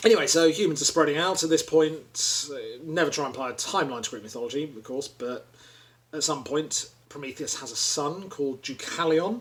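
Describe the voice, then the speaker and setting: A man's raspy, put-on character voice, fairly high in pitch, with ordinary pitch variation and a fairly quick pace. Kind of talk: informal storytelling. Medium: solo performance. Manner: rambling, casual, wry.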